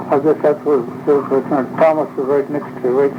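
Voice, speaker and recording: A man's fairly high voice holds a monotone, flat intonation at a moderate pace, with noticeable background noise behind him. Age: 80s+. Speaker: elderly pioneer interviewee. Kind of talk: oral history interview.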